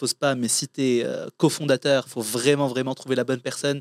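On a very clean recording with a silent background, a man with a fairly high voice talks at a fairly quick pace. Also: dry, close sound with no echo. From Morocco. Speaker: entrepreneur. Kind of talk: interview. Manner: casual.

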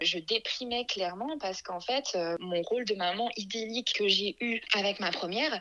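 With ordinary pitch variation, a woman talks at a medium pitch and a moderate pace. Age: 30s. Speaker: mother sharing her story, small business owner. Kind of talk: personal testimony interview. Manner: hesitant with many fillers.

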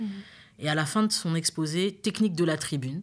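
On a very clean recording with a silent background, a woman speaks at a fairly quick pace in a fairly low voice. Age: 30s. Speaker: career coach. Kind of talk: interview. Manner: hesitant with many fillers.

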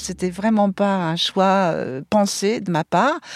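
A woman's medium-pitched voice, dry and close with no echo, on a very clean recording over a silent background. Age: 60s. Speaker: interviewee, former nurse. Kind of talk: interview. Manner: hesitant.

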